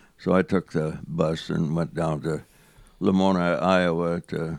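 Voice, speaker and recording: A man speaks with a very deep, low voice and vocal fry. The recording is very clean, with a silent background. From central Saskatchewan, Canada; raised from teens in Yakima, Washington. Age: 90s. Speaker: war veteran. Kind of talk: interview storytelling.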